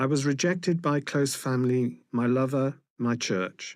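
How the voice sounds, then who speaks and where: A man with a British accent, medium pitch and fairly slow pace, on a very clean recording with a silent background. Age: 60s. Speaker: person living with HIV. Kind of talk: testimony.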